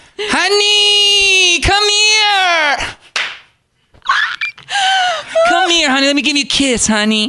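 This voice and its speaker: Shouting in a put-on character voice at an extremely high pitch, the speaker goes at a very slow pace with long, frequent pauses. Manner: silly, doting, affectionate.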